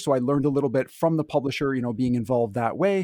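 With a Canadian accent and a plain, everyday voice, a man speaks at a fairly high pitch with ordinary pitch variation, in a dry, close sound with no echo on a very clean recording with a silent background. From Canada. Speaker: board game creator. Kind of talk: casual podcast interview.

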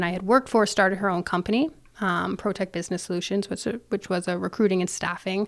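With a Canadian accent and a plain, everyday voice, a woman speaks at a fairly quick pace and medium pitch, keeping fairly even intonation on a very clean recording with a silent background. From Canada, Ontario (near Toronto). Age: 30s. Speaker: business owner. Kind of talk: casual chat.

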